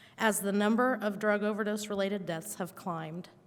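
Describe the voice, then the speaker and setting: Speaking in a Midwestern American accent, a woman talks at a fairly quick pace. Her pitch is medium and her intonation fairly even. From Indiana. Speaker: political candidate. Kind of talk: prepared statement. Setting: debate with audience.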